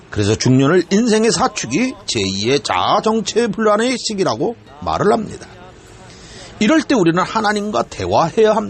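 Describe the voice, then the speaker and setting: Noticeable background noise sits behind a man talking at a moderate pace with very even loudness. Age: 60s. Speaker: pastor. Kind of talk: sermon. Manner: formal.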